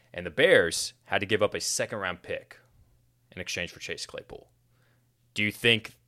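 A man speaks at a moderate pace with long, frequent pauses and big swings in loudness. The recording is very clean, with a silent background. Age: 20s. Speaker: NFL podcast host. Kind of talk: casual sports chat.

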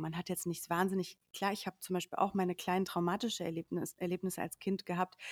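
A woman talks at a medium pitch. The very clean recording has a silent background and a dry, close sound with no echo. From Sauerland, Germany. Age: 30s. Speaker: media professional and coach in training. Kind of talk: casual chat. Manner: halting, many fillers.

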